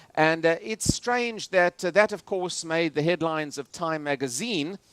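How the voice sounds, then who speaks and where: Recorded dry and close with no echo, a man with a South African accent speaks at a moderate pace in a high pitch, with ordinary pitch variation. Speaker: political analyst and futurist speaker. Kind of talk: lecture. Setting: stage with audience on cruise ship. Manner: many filler hesitations.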